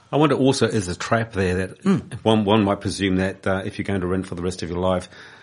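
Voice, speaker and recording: A man speaks with a New Zealand accent in a very deep, low pitch. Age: 60s. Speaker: community radio host. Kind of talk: radio interview. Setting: radio studio.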